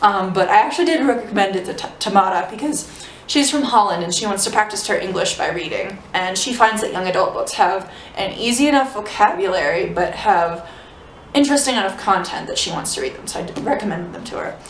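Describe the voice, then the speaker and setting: Over noticeable background noise and audible room echo, a woman with a fairly high pitch talks at a very fast pace with lively intonation. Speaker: book vlogger. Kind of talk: casual book review vlog.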